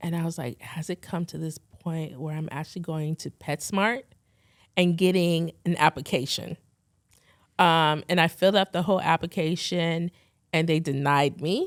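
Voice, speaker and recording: A woman's fairly low voice at a moderate pace, with fairly even intonation, in a very clean recording with a silent background and a dry, close sound with no echo. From Philippines, then California. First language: Tagalog. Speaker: fashion and beauty photographer. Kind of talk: interview. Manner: casual, conversational.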